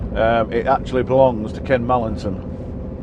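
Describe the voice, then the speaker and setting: Speaking at a moderate pace with a Yorkshire accent, a man keeps a medium pitch and fairly even intonation over noticeable background noise. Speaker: truck driver vlogger. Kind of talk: casual vlog monologue.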